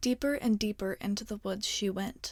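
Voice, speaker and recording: A woman talks at a moderate pace in a fairly high pitch. Her tone is calm and soothing, and her voice is somewhat breathy. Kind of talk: ASMR bedtime story reading. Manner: soft, calm, soothing.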